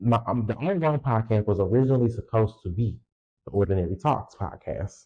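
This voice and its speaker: Somewhat breathy and dark, mellow in tone, a man's medium-pitched voice moves at a fairly quick pace with ordinary pitch variation. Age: 20s. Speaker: solo podcast host. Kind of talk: casual monologue. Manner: casual, halting with repetitions.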